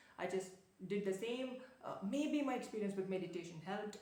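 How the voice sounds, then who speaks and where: A woman talks at a medium pitch with ordinary pitch variation, and audible room echo can be heard. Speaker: productivity and self-development vlogger. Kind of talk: casual vlog monologue. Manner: fast talker by habit; hesitant, many fillers and restarts.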